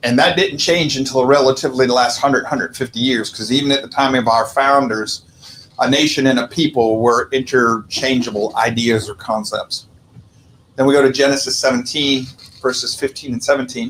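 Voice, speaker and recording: Fairly even intonation runs through the speech. The pace is fairly quick. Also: man, medium pitch for a man. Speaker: Bible study teacher. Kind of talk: Bible study lecture.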